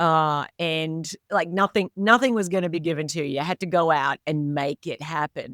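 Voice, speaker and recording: A woman with an Australian accent, fairly low in pitch, at a fairly slow pace with ordinary pitch variation, in a dry, close sound with no echo on a very clean recording with a silent background. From rural Australia. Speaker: leadership coach and author. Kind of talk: interview podcast.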